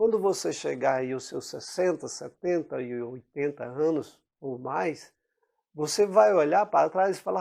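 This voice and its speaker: A man speaks at a fairly slow pace in a dark, mellow tone. His pitch swings very widely. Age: 60s. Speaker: preacher. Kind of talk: sermon.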